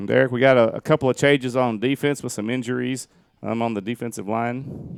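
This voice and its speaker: Recorded dry and close with no echo, a man speaks at a fairly quick pace. His medium-pitched voice keeps a fairly even intonation. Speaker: sports commentator, teacher. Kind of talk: live sports commentary. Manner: fast.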